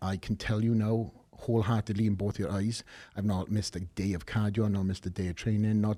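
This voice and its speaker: A man in a Welsh accent, with a dark, mellow tone and fairly low pitch, fairly even intonation and a moderate pace, on a very clean recording with a silent background. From Wales. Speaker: professional bodybuilder. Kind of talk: podcast interview answer.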